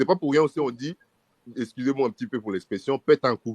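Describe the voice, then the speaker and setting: A man's voice, dry and close with no echo. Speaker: discussion panelist. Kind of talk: casual chat.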